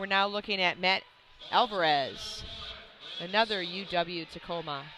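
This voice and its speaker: A woman speaks at a moderate pace and a medium pitch, her intonation fairly even. Music plays in the background. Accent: American. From US Midwest, Wisconsin. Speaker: powerlifting referee and live commentator. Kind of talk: live commentary. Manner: casual, conversational.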